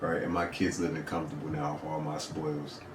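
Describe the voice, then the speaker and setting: Noticeable background noise and audible room echo surround a man speaking at a very deep, low pitch. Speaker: podcast co-host. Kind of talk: casual chat. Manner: soft-spoken.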